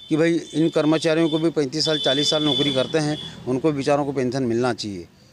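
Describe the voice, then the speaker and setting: Over noticeable background noise, a man speaks in a fairly high voice with fairly even intonation. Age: 60s. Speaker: independent election candidate, retired employee. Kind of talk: interview. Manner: halting.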